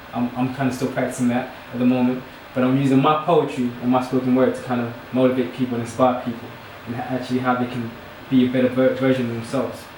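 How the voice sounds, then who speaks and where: In an American accent, the speech runs at a very fast pace with monotone, flat intonation, audible room echo and noticeable background noise. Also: man. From New York, US. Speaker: spoken word poet. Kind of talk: casual introduction and spoken word performance. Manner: hesitant, lots of fillers.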